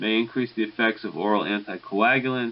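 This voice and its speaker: Mumbling at a fairly quick pace, a man speaks at a medium pitch in a monotone, flat way. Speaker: pharmacology lecturer. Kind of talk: recorded lecture. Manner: mumbling a little; hesitant, many fillers.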